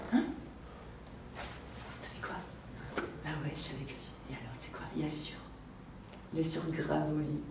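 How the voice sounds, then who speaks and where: Against noticeable background noise, a woman speaks at a fairly slow pace with long, frequent pauses and big swings in loudness. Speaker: actress. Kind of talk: acting showreel with dramatic scenes. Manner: angry, raw, confrontational, emotional.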